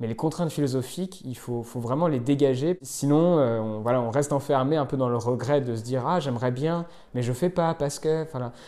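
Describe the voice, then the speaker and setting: At a fairly quick pace, a man speaks in a dark, mellow tone at a medium pitch with ordinary pitch variation. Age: 20s. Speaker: interviewee at a work-reduction event. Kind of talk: vox pop interview.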